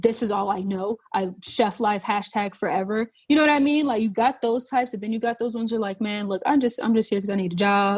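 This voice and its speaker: With an American accent, a somewhat breathy woman talks at a very fast pace, her pitch fairly high and her intonation fairly even. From North Charleston, South Carolina. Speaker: chef and food writer. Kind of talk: podcast interview answer, casual.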